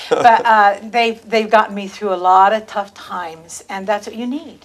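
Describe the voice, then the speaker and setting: Amid noticeable background noise, a woman speaks at a moderate pace and a fairly high pitch, with big swings in loudness. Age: 70s. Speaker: weight loss patient. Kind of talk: interview testimony.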